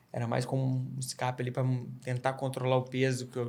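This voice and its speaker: A man speaks with a slight Minas Gerais accent. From Minas Gerais, Brazil (Barbacena). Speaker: trail runner. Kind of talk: podcast interview.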